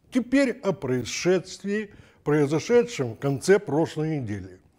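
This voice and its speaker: A man at a very slow pace, with very wide pitch swings and a quiet background. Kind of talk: commentary. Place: studio. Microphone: lapel.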